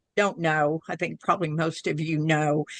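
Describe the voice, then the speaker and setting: A woman with a strong Southern Oklahoma accent has a bright, sharp tone, recorded dry and close with no echo against a quiet background. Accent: strong Southern Oklahoma twang. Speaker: spiritual channeler. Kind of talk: casual chat.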